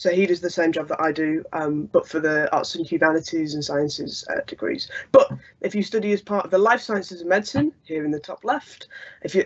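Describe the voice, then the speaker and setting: Speech in a northern English accent moves at a fairly quick pace. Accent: non-London, northern English. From northern England (Lancaster). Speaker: student union officer. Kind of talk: online presentation. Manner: hesitant, many fillers.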